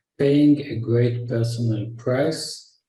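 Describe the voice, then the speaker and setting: With an Israeli accent, a man speaks at a very slow pace in a dark, mellow tone that is somewhat breathy. Audible room echo surrounds the voice. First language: Hebrew. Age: 60s. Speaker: naturopath and health educator. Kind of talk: lecture. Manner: halting.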